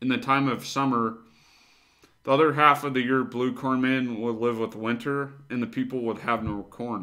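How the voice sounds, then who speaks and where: A man's bright, sharp tone at medium pitch and moderate pace, with fairly even intonation against a quiet background. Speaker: video host. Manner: measured, even storyteller's delivery, reading aloud with a solemn, narrative cadence; casual, slightly hesitant in the intro with fillers. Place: home room. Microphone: webcam.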